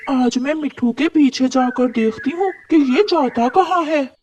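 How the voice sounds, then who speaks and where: A cartoonish character voice, female-sounding and high-pitched for a woman. It moves at a moderate pace. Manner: emotional.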